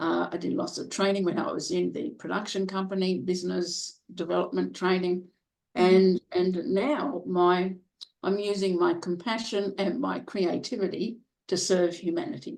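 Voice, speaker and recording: Vocal fry marks this woman's medium-pitched voice. She keeps a moderate pace with ordinary pitch variation. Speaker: professional speaker. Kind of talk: interview answer.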